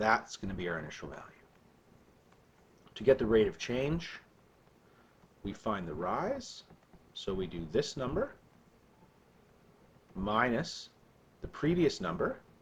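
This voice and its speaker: A man speaks fairly slowly at medium pitch, somewhat breathy, with long, frequent pauses. His pitch swings very widely and his loudness shifts a lot. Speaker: math teacher. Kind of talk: recorded lesson. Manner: casual, with fillers.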